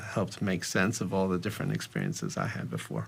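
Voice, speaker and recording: A man with a North American accent amid noticeable background noise. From US, New York City. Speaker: personal finance educator. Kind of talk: interview. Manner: halting, many repetitions.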